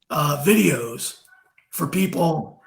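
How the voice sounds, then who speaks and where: This man's voice is fairly high in pitch. Vocal fry runs through it. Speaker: krav maga instructor. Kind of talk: interview host. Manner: enthusiastic.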